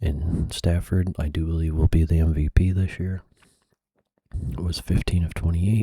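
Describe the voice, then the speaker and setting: The voice has a dark, mellow, somewhat breathy tone and a relaxed manner, moving at a moderate pace with fairly even intonation and long, frequent pauses. The recording is dry and close, with no echo. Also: man, very deep, low pitch for a man. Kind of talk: ASMR sports recap and picks, casual talk to camera. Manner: soft-spoken, relaxed.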